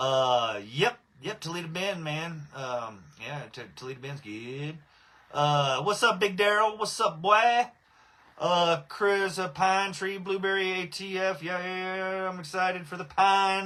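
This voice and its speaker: A man with a Texan accent speaks at a fairly slow pace in a high, bright, sharp voice. His intonation is lively, with big swings in loudness. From Southeast Texas. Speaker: cannabis breeder and livestream host. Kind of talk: casual livestream chat. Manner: casual, filler-heavy.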